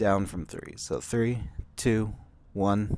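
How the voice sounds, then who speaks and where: A man talks at a very slow pace in a very clean recording with a silent background. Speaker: vlogger. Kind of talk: casual vlog monologue. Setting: outdoors. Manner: quiet.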